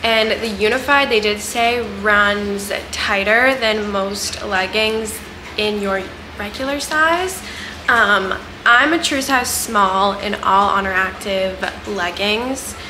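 A woman at a very slow pace, with ordinary pitch variation and noticeable background noise. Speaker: fitness apparel reviewer. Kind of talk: casual vlog chat. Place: home room. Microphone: camera far.

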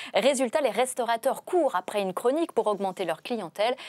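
Over a quiet background, a woman with an unremarkable speaking voice talks at a moderate pace, her pitch fairly high and her intonation lively. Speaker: TV host. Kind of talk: interview presenting. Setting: studio. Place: studio. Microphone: lapel.

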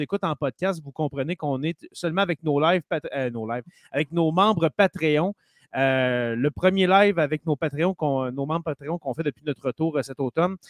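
Heard against a quiet background, the speaker has a Quebec accent and the sound is dry with no echo. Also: man. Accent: Québécois French. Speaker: teacher and podcast host; teacher, podcast host. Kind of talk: casual chat. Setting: live stream. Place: home room. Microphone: studio mic.

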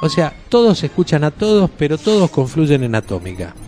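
With an Argentine accent, the speaker moves at a fairly quick pace through very wide pitch swings, over noticeable background noise. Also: man. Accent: Argentine Rioplatense. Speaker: radio announcer / voice of the station's jingles. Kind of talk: casual greeting to camera, anniversary message. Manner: chatty, informal.

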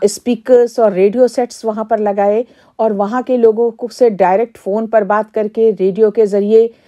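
A woman with a fairly high pitch and a dark, mellow tone speaks at a fairly slow pace in a flat, monotone way against a quiet background. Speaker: community radio station organizer or head. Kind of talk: interview answer. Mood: earnest, reflective. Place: studio.

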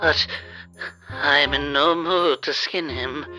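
A man speaks slowly in a put-on character voice, fairly high in pitch with a bright, sharp tone. His intonation stays fairly even while faint music plays in the background.

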